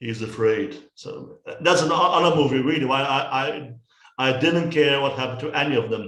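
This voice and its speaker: With a Dutch accent, a man speaks at a fairly high pitch and a moderate pace, with hardly any pauses and ordinary pitch variation. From Netherlands. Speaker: film reviewer. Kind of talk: casual chat. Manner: halting.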